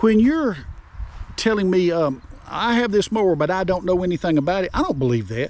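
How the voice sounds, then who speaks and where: A man talks at a fairly quick pace in a high pitch, with very wide pitch swings and very even loudness. Noticeable background noise is present. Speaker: online video host giving selling tips. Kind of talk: casual unscripted tutorial. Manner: halting, tongue-tied at times; spontaneous, unscripted.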